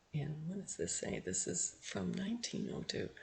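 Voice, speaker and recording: A man with a western Canadian accent at a moderate pace. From Canada, Edmonton Alberta. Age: 60s. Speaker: history video blogger. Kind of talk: casual narrated screen walkthrough. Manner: halting, self-correcting.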